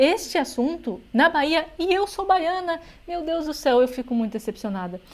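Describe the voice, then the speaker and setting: Woman speaking at a moderate pace with lively intonation. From São Paulo, Brazil. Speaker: political commentary youtuber. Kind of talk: reaction commentary.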